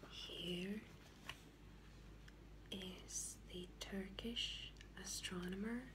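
A soft-spoken woman with a gentle tone, a very slow pace, long, frequent pauses and noticeable background noise. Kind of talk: soft-spoken ASMR commentary to camera. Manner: soft-spoken, gentle.

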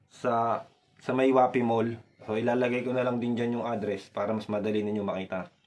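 At a moderate pace, a man speaks with fairly even intonation. His pitch is medium. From Philippines. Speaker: vlogger, overseas worker; vlogger. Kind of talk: vlog tutorial. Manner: casual, conversational. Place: home room. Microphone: phone near.

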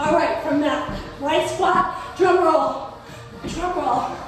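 Over clear music in the background and strong room echo, a woman speaks at a very slow pace in a high pitch with ordinary pitch variation. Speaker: fitness instructor. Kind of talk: workout instruction cues. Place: home room. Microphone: camera far.

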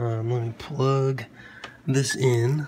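Flat, monotone male speech against clearly audible background noise. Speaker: drone hobbyist. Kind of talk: tutorial. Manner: casual, hesitant with fillers.

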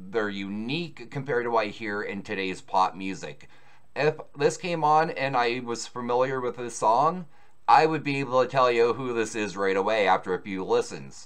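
Lively intonation marks this man's moderate-paced speech over a quiet background. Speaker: music reaction channel host. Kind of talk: commentary.

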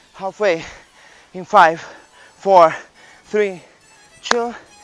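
A man's high voice at a very slow pace, dry with no echo, over faint background music. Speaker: fitness trainer. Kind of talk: workout class instruction. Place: open country.

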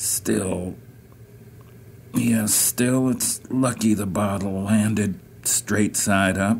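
Gravelly and raspy, the voice moves at a very slow pace with ordinary pitch variation. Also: man. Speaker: poet. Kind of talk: poetry reading.

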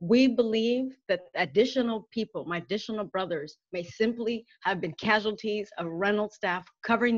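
A woman speaks at a moderate pace with a medium pitch, ordinary pitch variation and hardly any pauses over a quiet background. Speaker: family member of prisoner. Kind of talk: prepared statement. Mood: emotional, earnest. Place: home room. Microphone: webcam.

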